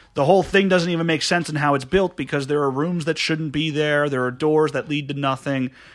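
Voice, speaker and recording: With fairly even intonation, an ordinary speaking voice moves along at a fairly quick pace. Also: man, fairly high pitch for a man. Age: 20s. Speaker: podcast guest. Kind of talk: casual chat. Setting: studio.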